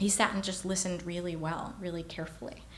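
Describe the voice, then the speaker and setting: In a room with audible echo, a woman talks at a very fast pace. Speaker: keynote speaker. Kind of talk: keynote speech.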